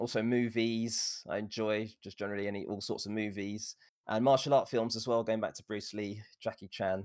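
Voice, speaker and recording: Speaking in an English accent, a man uses a medium pitch and fairly even intonation at a fairly quick pace. The recording is very clean, with a silent background. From England. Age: 40s. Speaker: streamer. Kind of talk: interview.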